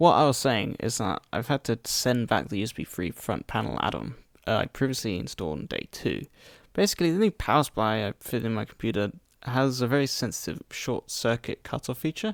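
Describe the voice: A man speaks at a fairly quick pace with lively intonation and vocal fry. His pitch is medium, and the sound is dry and close with no echo.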